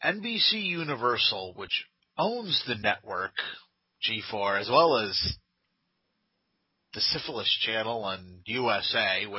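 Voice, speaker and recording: Putting on a nasal character voice, a man speaks at a fairly slow pace and medium pitch. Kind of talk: snooty. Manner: haughty, condescending.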